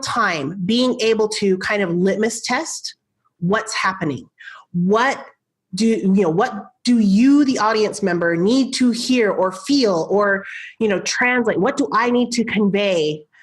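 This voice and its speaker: A woman's animated, fairly high voice at a fairly slow pace, with lively intonation and very even loudness. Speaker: marketing coach and podcast host. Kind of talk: podcast interview.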